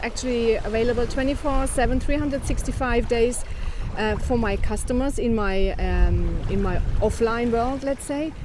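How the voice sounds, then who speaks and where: Over noticeable background noise and audible room echo, a woman speaks with a high pitch and ordinary pitch variation. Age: 50s. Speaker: business owner. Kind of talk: casual chat.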